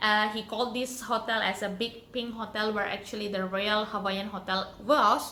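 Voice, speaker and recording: In an Indonesian accent, a woman speaks with a fairly high pitch and monotone, flat intonation at a moderate pace, with hardly any pauses and audible room echo. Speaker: YouTuber. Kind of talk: storytelling. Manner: halting.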